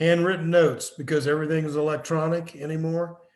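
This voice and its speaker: With audible room echo, a man speaks at a moderate pace in a fairly high pitch. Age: 70s. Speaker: business consultant and professor. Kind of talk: lecture.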